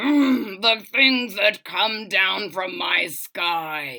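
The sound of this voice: A woman bellows in a put-on character voice at a medium pitch, with a bright, sharp tone, ordinary pitch variation and a very slow pace.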